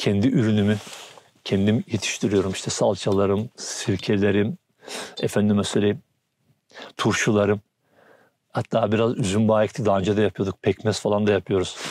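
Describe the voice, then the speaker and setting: Long, frequent pauses break up a man's fairly low-pitched speech. His intonation is flat and monotone, and the sound is dry and close with no echo. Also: moderate pace, very even loudness. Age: 60s. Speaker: farmer. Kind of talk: casual interview.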